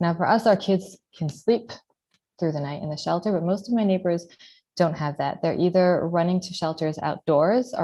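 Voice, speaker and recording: A soft-spoken woman talks at a fairly quick pace. Her fairly low voice has a dark, mellow tone and ordinary pitch variation. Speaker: mother living under rocket fire. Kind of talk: testimony.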